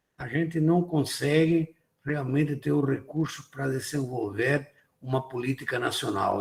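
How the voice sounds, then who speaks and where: A man talks fairly slowly, his voice somewhat breathy. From abroad, not Brazil. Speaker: IT industry association president. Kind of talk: lecture.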